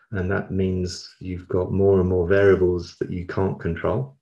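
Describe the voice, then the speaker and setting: Somewhat breathy and monotone with flat intonation, a man with a London accent speaks at a very deep, low pitch. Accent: London English, southern British. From South London, England. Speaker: learning industry executive. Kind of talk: interview conversation.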